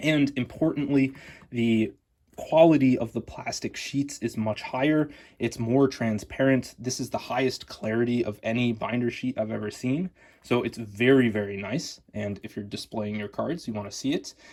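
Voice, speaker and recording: With an American accent, a man speaks at a moderate pace and medium pitch in a plain, everyday voice, with ordinary pitch variation. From United States. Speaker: card collecting youtuber. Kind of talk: product review. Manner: casual, with filler words.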